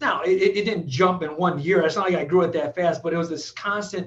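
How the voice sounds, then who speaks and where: A man with an American accent speaks at a high pitch with ordinary pitch variation. Noticeable background noise runs behind him. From Michigan, Flint. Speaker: dentist and business owner. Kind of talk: casual interview. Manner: energetic.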